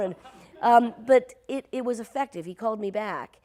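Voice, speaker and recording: With noticeable background noise behind her, a woman speaks at a moderate pace in a General American accent with ordinary pitch variation. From Ohio. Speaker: voice actor. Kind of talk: interview answer. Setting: theatre stage. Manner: casual, conversational.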